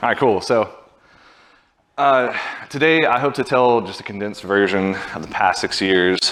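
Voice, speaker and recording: The man has a Southern US accent and ordinary pitch variation. He goes at a moderate pace. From US South, Birmingham, Alabama. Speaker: software engineering manager. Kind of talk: conference talk.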